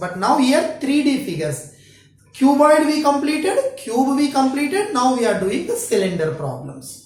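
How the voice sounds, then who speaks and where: A woman with a high-pitched voice swings her pitch very widely, and the room echo is easy to hear. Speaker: school math teacher. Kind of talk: lecture. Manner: slow; halting.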